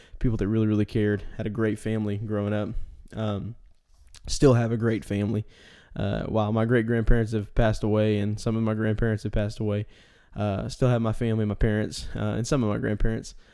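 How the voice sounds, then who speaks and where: Fairly quick and flat in intonation, a man speaks in a dark, mellow, monotone voice. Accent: Texan. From East Texas, US. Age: 20s. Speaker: podcast host. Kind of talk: solo podcast monologue. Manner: halting, many fillers.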